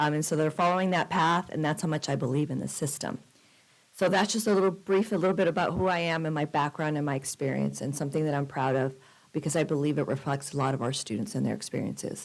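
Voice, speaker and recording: Very fast talking from a woman. Her pitch is very deep and low. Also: ordinary pitch variation, very clean recording, silent background. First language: Spanish. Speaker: college president. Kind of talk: formal presentation. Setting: city council chambers.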